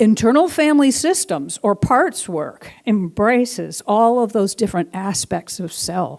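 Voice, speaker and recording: The tone is animated, with very wide pitch swings. The pace is fairly slow, with hardly any pauses. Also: woman. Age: 60s. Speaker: guest minister. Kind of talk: sermon.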